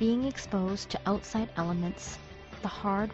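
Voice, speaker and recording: With music in the background, a woman of medium pitch speaks at a fairly slow pace in a monotone, flat intonation. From Canada. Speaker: English teacher. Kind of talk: personal essay narration.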